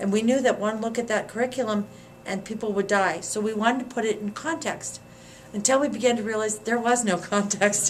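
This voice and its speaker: A plain, everyday voice from a woman, fairly high in pitch, with fairly even intonation and a fairly quick pace. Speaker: former community organizer. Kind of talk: interview answer.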